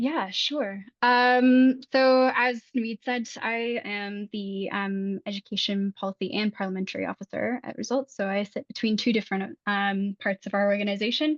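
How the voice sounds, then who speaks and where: An American-accented woman speaks at a moderate pace and medium pitch with fairly even intonation, hardly any pauses, and a dry, close sound with no echo. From United States. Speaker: policy advocacy officer at a charity. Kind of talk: self-introduction on a conference call. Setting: conference call. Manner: hesitant with many ums.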